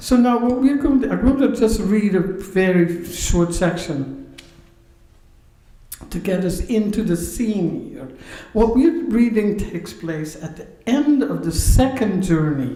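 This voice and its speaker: A woman with a Dutch accent speaks at a fairly slow pace in a medium pitch, her voice rising and falling very widely and her loudness swinging a lot, with audible room echo. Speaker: pastor and professor giving a sermon. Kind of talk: sermon. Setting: synagogue service, live-streamed.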